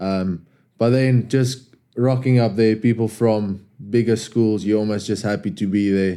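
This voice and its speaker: A man with a South African accent, fairly low pitch, a dark, mellow tone and a moderate pace. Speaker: rugby player and club captain. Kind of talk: casual podcast interview.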